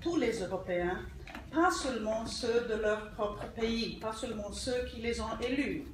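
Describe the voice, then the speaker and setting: Very slowly, a woman with a Polish accent speaks amid noticeable background noise and audible room echo. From Poland. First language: Polish (speaking French). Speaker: politician. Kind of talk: formal acceptance speech. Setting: ceremony at an embassy. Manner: reading from a prepared text.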